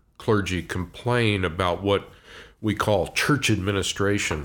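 A man's fairly slow speech with lively intonation, in an American accent. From US, Washington DC area. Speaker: preacher and church consultant. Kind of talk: interview conversation. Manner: halting, frequent fillers.

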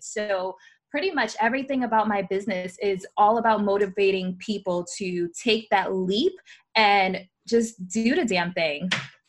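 A woman's normal speaking voice with an American accent, medium pitch, fairly even intonation and a fairly slow pace. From New York City (Bronx). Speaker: influencer and business owner. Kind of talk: podcast interview.

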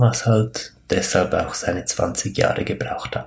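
This man talks at a fairly slow pace in a somewhat breathy, medium-pitched voice. His intonation stays fairly even. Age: 30s. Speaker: spiritual podcast host. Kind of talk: solo podcast monologue. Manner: hesitant, many fillers.

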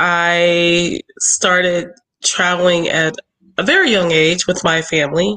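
A woman speaks with an American accent and a bright, sharp tone. Her pitch sits fairly low. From Philadelphia. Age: young. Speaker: travel agent. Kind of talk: interview. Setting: video call.

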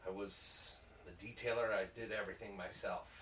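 Heard with audible room echo, a man with an American accent talks in a monotone, flat intonation. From Chicago area, Illinois (Downers Grove). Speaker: business owner and Marine veteran. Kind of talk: casual chat.

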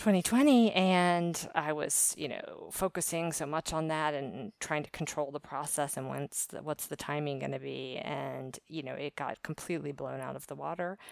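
With an American accent, a woman talks at a moderate pace and fairly even intonation, her sound dry and close with no echo on a very clean recording with a silent background. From US East Coast, Maryland. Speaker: podcast industry worker. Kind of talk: casual monologue reflection. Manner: hesitant, many fillers.

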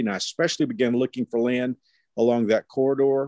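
A man with a Texan accent, a dark, mellow tone, fairly even intonation and a moderate pace, in a dry, close sound with no echo. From Texas, Fort Worth. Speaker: pastor. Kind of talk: interview.

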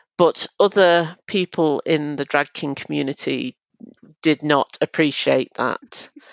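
A woman's very deep, low pitch with vocal fry and a Mancunian accent, fairly even intonation at a very slow pace, in a dry, close sound with no echo over a quiet background. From Manchester, England. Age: 30s. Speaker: journalist and drag king. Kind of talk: casual interview chat.

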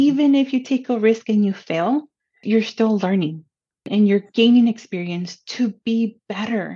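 A woman with a Spanish accent speaks in a fairly high, somewhat breathy voice. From Pomona, California. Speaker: college counselor. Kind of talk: casual interview chat.

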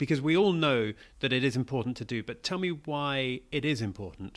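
A man with a normal speaking voice talks at a fairly quick pace, his medium pitch moving with lively intonation, on a very clean recording with a silent background. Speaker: school podcast host. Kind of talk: interview.

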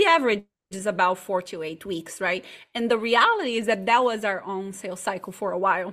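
With a Portuguese accent, a woman speaks at a medium pitch with ordinary pitch variation. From Brazil, partly raised in Chile. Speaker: marketing agency owner. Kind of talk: interview. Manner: animated.

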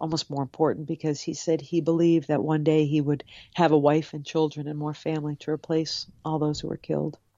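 With an American accent, a woman speaks at a very deep, low pitch in a monotone, flat intonation. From US Northeast, Cape Cod, Massachusetts. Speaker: author. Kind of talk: interview. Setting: video call.

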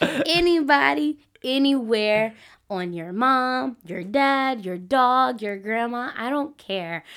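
A woman speaks very slowly in a high pitch, with lively intonation and big swings in loudness. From US South. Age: 20s. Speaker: podcast guest. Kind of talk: casual chat.

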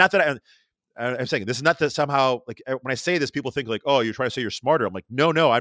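With an American accent, the speaker has a bright, sharp tone and ordinary pitch variation, captured in a very clean recording with a silent background and a dry, close sound with no echo. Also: man. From upstate New York, rural area near Rochester. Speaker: artist and podcaster. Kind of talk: casual interview conversation. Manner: fast talker; excitable, stumbles over words.

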